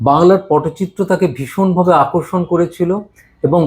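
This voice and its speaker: The speaker is a man. His pitch is high. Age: 70s. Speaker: amateur folk painter. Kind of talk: casual explanation while painting.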